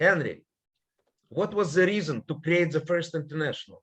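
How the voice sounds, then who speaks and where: A man's high-pitched voice with a non-native accent. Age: old. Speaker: political scientist. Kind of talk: panel presentation.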